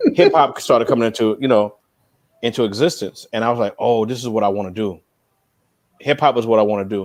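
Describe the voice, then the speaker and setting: A man with a New York accent talks very fast at a medium pitch. His pitch varies in an ordinary way. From New York (Queens). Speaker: music industry veteran. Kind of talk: interview.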